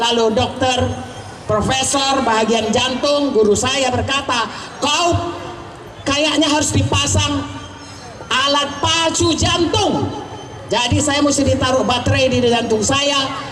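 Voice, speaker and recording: Shouting very slowly in a high voice, a woman keeps her loudness very even and her pitch variation ordinary, with audible room echo and noticeable background noise. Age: 70s. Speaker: pastor and doctor. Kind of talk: testimony. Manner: loud, shouting.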